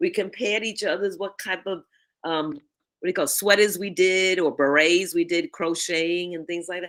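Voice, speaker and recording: A woman's medium-pitched voice at a moderate pace, fairly even in intonation but with big swings in loudness. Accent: New York. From New York City, the Bronx. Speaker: networking coach. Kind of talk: interview chat.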